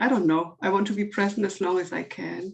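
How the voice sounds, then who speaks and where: A woman with a non-native accent speaks at a moderate pace in a medium pitch, her intonation fairly even. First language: not English. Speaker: workshop participant. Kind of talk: casual chat. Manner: halting.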